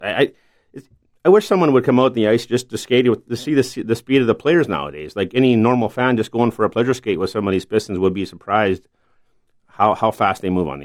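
A man speaks with a Canadian prairie accent at a fairly quick pace. The recording is very clean, with a silent background. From eastern Manitoba, Canada. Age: 50s. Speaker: hockey referee. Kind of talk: interview.

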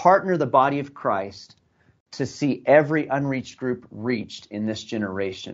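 A man's medium-pitched voice with an American accent, ordinary pitch variation and a moderate pace. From US Southwest (New Mexico). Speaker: ministry leader. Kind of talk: testimony. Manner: halting.

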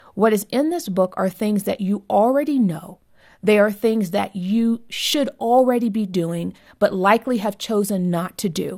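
A woman with an American accent speaks in a plain, everyday voice, her intonation lively. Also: very clean recording, silent background. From US, Southern California. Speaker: author and marriage advocate. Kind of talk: interview.

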